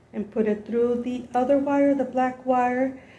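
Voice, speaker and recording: A woman talks at a moderate pace with a high pitch. Her tone is dark and mellow. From Los Angeles, US (born in Mexico). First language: Spanish. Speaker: YouTuber. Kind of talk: tutorial. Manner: casual, halting.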